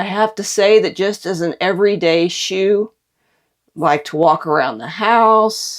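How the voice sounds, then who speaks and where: Using a normal speaking voice, a woman talks at a fairly slow pace in a medium pitch with ordinary pitch variation. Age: 60s. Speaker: product reviewer. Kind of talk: casual product review. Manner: conversational.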